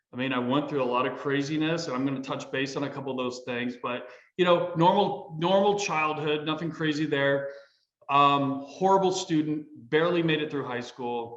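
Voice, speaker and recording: Amid audible room echo, a man talks at a moderate pace and a fairly high pitch with ordinary pitch variation. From US Midwest (northwestern Indiana, Columbus, Ohio). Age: 50s. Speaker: army veteran and real estate businessman. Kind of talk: casual interview. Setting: studio.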